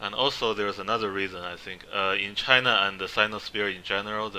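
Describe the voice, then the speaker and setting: With a non-native accent, a man talks at a fairly quick pace in a fairly low pitch and a monotone, flat intonation. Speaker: history presenter. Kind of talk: slide presentation lecture. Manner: halting, many fillers.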